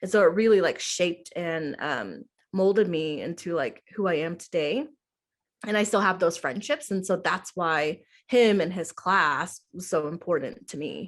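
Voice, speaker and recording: This woman has an ordinary speaking voice, fairly low in pitch, with lively intonation. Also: moderate pace. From Oklahoma. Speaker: middle school theater teacher. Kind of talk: interview. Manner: casual, many fillers (um, like).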